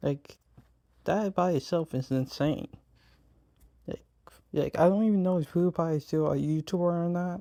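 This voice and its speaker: Someone with an American accent speaks at a moderate pace with long, frequent pauses on a very clean recording with a silent background. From United States. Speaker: YouTuber. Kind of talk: reaction video commentary. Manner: casual, halting with repetitions.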